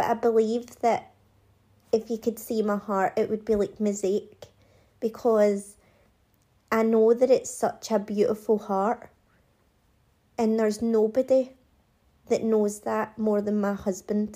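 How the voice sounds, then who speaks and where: A woman's dark, mellow tone at a fairly high pitch, monotone and flat, fairly slow with long, frequent pauses, on a very clean recording with a silent background. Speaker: hairdresser and podcast host. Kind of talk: solo monologue podcast.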